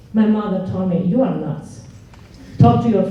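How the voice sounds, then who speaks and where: Over noticeable background noise, a woman talks at a moderate pace and medium pitch, her pitch varying in an ordinary way. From Romania (Transylvania). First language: Romanian. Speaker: engineer and instructor. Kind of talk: panel talk. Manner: halting.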